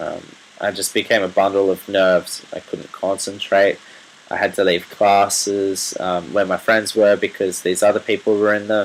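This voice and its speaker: Speaking with an Australian accent, a man talks at a moderate pace in a fairly low, monotone, flat voice over noticeable background noise. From Australia, rural New South Wales. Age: 20s. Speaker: medical student sharing personal story. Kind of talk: personal testimony video. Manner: hesitant, many fillers.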